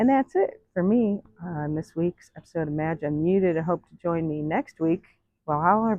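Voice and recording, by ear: A woman speaks with lively intonation at a moderate pace, her pitch fairly low. The sound is dry and close, with no echo.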